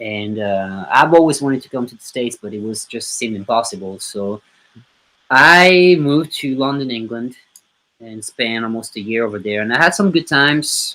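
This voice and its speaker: With lively intonation and big swings in loudness, a man speaks at a medium pitch and moderate pace in a bright, sharp tone. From southern France. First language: French. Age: 30s. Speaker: musician. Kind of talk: interview.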